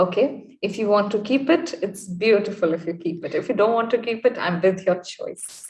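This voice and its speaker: A woman's somewhat breathy voice moves at a moderate pace, its pitch varying in an ordinary way. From India, Lucknow. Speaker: English tutor. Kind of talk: casual chat.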